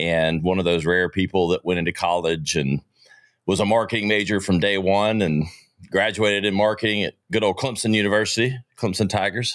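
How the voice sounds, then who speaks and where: A man with a Southern US accent speaks fairly quickly at a fairly low pitch, his loudness very even, on a very clean recording with a silent background. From US South, Greenville, South Carolina. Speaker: entrepreneur and marketing podcast host. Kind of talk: interview. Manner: animated.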